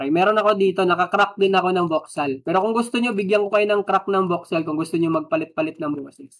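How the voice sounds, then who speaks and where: Someone talks at a very fast pace with hardly any pauses. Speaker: live streamer and task checker. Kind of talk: live stream tutorial. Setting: live stream from home. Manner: halting.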